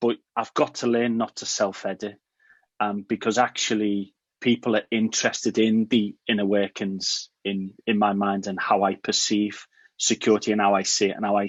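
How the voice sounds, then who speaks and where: With an English accent, a man speaks in a fairly low pitch with monotone, flat intonation. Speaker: cybersecurity awareness video creator. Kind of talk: interview answer. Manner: casual, candid, with swearing.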